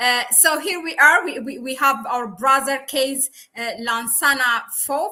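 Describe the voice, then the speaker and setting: A woman with a non-native accent speaks in a raised, projected voice, high in pitch, with a bright, sharp tone. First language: not English. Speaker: YouTube channel host, researcher. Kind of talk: live-streamed interview. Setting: live stream.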